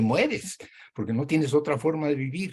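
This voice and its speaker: Somewhat breathy male speech with ordinary pitch variation at a moderate pace. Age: 80s+. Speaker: professor. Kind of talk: lecture.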